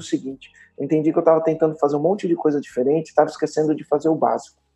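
A man with a fairly high pitch speaks over music in the background. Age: 40s. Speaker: entrepreneur. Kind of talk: interview.

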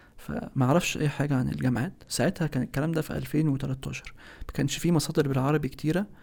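A man speaks with vocal fry at a fairly high pitch. His pitch variation is ordinary. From Egypt. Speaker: architect. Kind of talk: interview.

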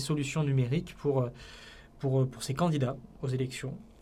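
The man speaks somewhat breathily, his tone dark and mellow. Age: 30s. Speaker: political communication entrepreneur. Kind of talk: podcast interview. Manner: hesitant, with frequent fillers and repetitions.

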